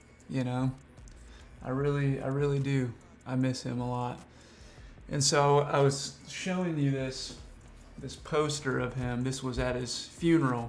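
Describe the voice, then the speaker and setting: Over background music, a man at medium pitch talks fairly slowly in a flat monotone with a slight Southern US accent, leaving long, frequent pauses. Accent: slight Southern drawl. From Washington state, USA. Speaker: freelance filmmaker.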